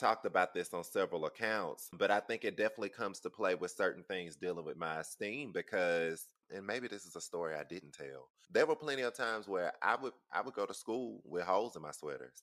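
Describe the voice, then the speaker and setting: With a Southern US accent, a man with a fairly low pitch and a bright, sharp tone talks at a fairly quick pace, with lively intonation and hardly any pauses. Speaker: podcast host. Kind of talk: casual chat.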